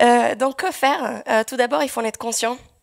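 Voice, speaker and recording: A woman speaks at a fairly quick pace with vocal fry and ordinary pitch variation. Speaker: software developer. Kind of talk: conference talk. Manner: hesitant.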